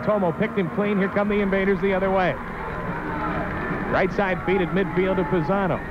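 Loud background noise sits behind a man talking at a fairly quick pace. The sound is dry, with no echo. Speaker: play-by-play announcer. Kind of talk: sports commentary. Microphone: old recording.

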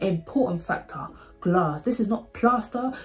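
A woman talks in a London accent with an animated tone at a moderate pace. Her pitch varies in an ordinary way, with music in the background. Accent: Multicultural London English. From London, England. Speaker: YouTuber. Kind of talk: storytime monologue. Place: home room. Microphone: phone near.

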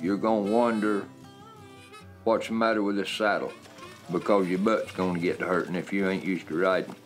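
With faint music behind him, a man with a fairly low voice talks fairly quickly in fairly even intonation, leaving long, frequent pauses. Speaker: cattle worker. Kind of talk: interview answer. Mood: calm, reflective. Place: home room.

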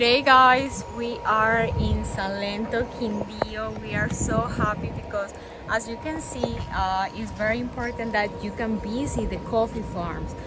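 A woman at a fairly slow pace, dry sound with no echo, clear music in the background. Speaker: travel vlogger. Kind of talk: casual vlog chat. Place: garden. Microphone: phone near.

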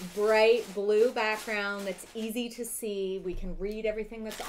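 At a fairly slow pace, a woman talks with light background noise present. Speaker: livestream co-host. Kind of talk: casual livestream chat. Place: home room.

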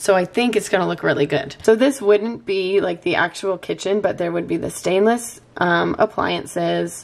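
A woman talks at a moderate pace with hardly any pauses, ordinary pitch variation, and vocal fry. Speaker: vlogger and mom. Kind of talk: casual vlog chat. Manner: animated, chatty.

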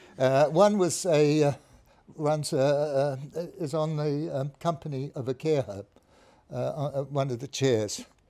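A man's very slow delivery, fairly high in pitch, with a dark, mellow tone, ordinary pitch variation and a quiet background. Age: 80s+. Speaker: startup founder, epidemiologist. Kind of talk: startup pitch. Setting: live event with audience. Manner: halting. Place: studio.

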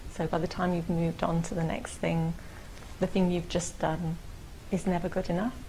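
Speaking with a London accent, a woman uses a fairly low pitch and fairly even intonation. Her pace is moderate, with light background noise. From England (London). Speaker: printmaker and art gallery manager. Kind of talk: interview answer. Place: studio.

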